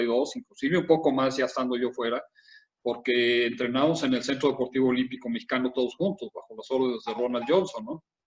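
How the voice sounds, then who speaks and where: A man talks very fast, his pitch rising and falling in an ordinary way. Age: 70s. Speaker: former Olympic swimmer. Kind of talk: interview.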